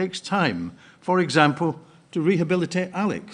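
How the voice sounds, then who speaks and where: A man with a Scottish accent, a fairly high pitch, and vocal fry. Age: 70s. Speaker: party delegate. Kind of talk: conference speech. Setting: conference hall with audience.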